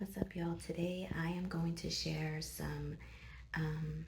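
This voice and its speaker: Audible room echo surrounds the voice. A woman talks at a fairly slow pace. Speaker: vlogger. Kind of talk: video intro. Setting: doctor's office.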